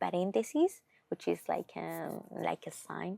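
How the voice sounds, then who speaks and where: A woman with a Spanish accent speaks at a fairly slow pace, with a dry, close sound and no echo. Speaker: podcast host. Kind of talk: casual monologue. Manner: halting.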